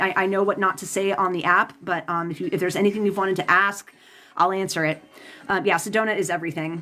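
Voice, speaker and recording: A woman talks at a very fast pace with a medium pitch. Noticeable background noise runs underneath. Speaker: tarot reader and psychic. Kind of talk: live stream chat with viewers. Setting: live stream.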